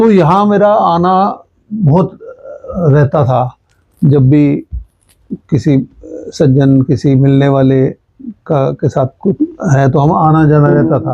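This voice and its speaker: A man's fairly high, somewhat breathy voice with a dark, mellow tone, lively intonation, very even loudness, and long, frequent pauses, in a dry, close sound with no echo. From Haryana, India (Hansi, Fatehabad). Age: 60s. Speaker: journalist. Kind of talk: interview.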